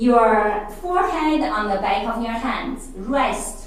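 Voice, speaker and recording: Very slow speech from a woman with a Chinese accent, fairly high pitch and very wide pitch swings, plus audible room echo and noticeable background noise. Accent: non-native English, Chinese. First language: Mandarin. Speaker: fitness instructor. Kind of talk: exercise class instruction.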